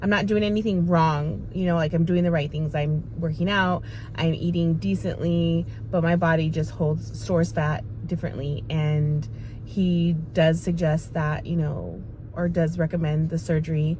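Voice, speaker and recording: Amid audible room echo, a woman with a very deep, low pitch speaks at a moderate pace with ordinary pitch variation and very even loudness. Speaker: vlogger sharing weight loss journey. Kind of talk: casual vlog talk to camera. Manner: hesitant, many fillers.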